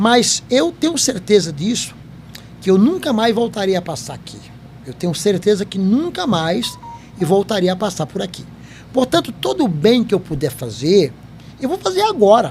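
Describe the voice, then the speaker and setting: Speaking at a moderate pace with a high pitch for a man, he makes very wide pitch swings and big swings in loudness, leaving long, frequent pauses while music plays in the background. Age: 70s. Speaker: company founder and podcast host. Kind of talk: interview chat.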